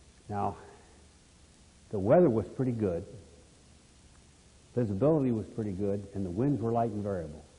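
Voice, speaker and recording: A man with a fairly low pitch and a dark, mellow tone speaks at a moderate pace in a somewhat breathy voice, with ordinary pitch variation and long, frequent pauses. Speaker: retired army aviation officer. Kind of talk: interview answer.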